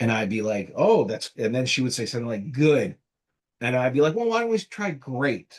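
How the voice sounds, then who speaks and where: A man speaks in a New Jersey accent. His pitch is medium and his intonation lively. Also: moderate pace. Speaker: marketing agency founder. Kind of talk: casual interview.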